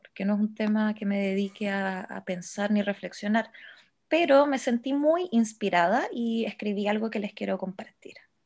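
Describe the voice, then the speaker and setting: In a plain, everyday voice, a woman talks at a fairly slow pace and medium pitch on a very clean recording with a silent background. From Chile, Santiago. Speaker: podcast co-host. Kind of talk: casual chat.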